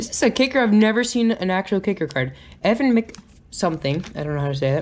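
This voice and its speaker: A loud woman speaks at a moderate pace with very wide pitch swings. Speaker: YouTuber opening trading card packs. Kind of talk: casual unboxing video. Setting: home recording on GoPro. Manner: loud, excited.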